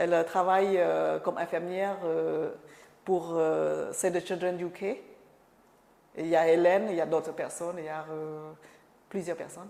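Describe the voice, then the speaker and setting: This woman speaks at a moderate pace with long, frequent pauses, and her loudness swings widely. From Cambodia. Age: 50s. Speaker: refugee sharing life story. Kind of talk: oral history interview. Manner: halting, many hesitations and repetitions.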